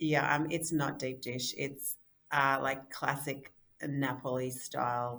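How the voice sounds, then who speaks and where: A woman with an Australian accent, very deep and low in pitch, at a fairly slow pace. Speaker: software company executive and co-founder. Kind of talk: casual interview.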